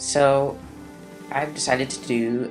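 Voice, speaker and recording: The voice is quiet, with music playing in the background. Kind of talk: gaming commentary. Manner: very quiet; mumbled.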